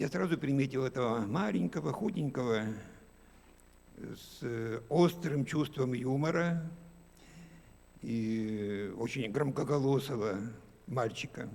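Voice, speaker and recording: A man speaks at medium pitch and a very slow pace, leaving long, frequent pauses. His intonation is lively. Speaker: school teacher. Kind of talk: memorial speech. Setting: library event with audience.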